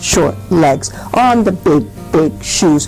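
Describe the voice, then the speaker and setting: A woman's fairly low, put-on character voice at a very slow pace, against clear background noise. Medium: read story. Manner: repetitive, wondering.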